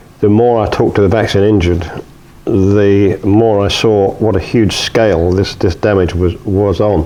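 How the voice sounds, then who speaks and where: A man with a British accent speaks at a moderate pace in a fairly low, monotone voice with flat intonation. Noticeable background noise runs behind him. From UK. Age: 70s. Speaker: retired journalist and filmmaker. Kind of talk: interview. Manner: hesitant, many fillers.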